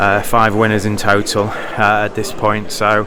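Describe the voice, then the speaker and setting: Over noticeable background noise and audible room echo, a man speaks at a fairly low pitch. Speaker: bridge player and vlogger. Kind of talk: vlog commentary on bridge hands. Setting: bridge tournament playing room.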